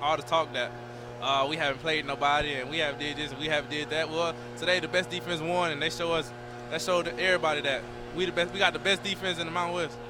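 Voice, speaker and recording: Noticeable background noise sits behind a man with an American accent who speaks at a very fast pace. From Texas. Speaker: college football player. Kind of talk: post-game interview.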